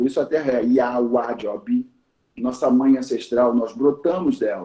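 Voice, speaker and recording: A man speaks at a fairly slow pace in a medium pitch, with a dark, mellow tone and ordinary pitch variation. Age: 60s. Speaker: teacher of Yoruba tradition. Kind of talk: talk in a conversation circle. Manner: hesitant, repeats words.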